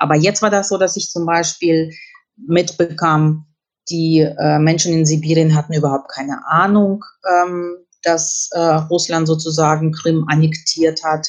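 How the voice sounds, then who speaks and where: A woman's ordinary speaking voice, fairly low in pitch, at a fairly slow pace with fairly even intonation. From Kyrgyzstan (Russian-German family). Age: 50s. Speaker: journalist and historian. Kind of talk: interview.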